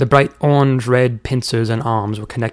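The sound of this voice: The reader uses an unforced reading voice with fairly even intonation.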